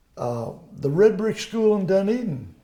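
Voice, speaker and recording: A man's high pitch at a fairly slow pace, with very wide pitch swings and audible room echo. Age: 80s+. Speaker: local elder interviewee. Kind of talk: oral history interview. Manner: halting.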